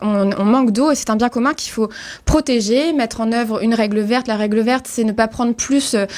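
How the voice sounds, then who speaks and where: Moderate pace and fairly even intonation. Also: woman. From Brittany, France. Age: 30s. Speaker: political candidate. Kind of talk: radio interview. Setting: radio studio. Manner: halting, many fillers.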